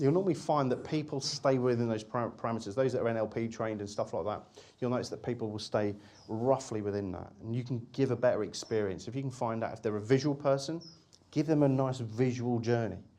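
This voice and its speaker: Amid audible room echo, a man talks at a very fast pace in a dark, mellow tone. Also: medium pitch for a man, ordinary pitch variation. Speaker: hypnotist and hypnosis teacher. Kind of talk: lecture.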